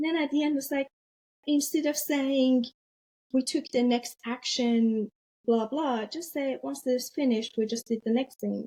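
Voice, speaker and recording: Speaking at a moderate pace with a non-native accent, a woman has a high pitch, fairly even intonation and a dark, mellow tone. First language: not English. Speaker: business agility leader and author. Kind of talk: interview podcast conversation.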